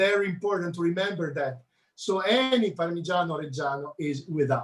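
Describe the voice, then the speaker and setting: The speaker has a strong Italian accent and ordinary pitch variation. The pace is fairly quick. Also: man, high pitch for a man. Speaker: chef. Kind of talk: cooking demonstration.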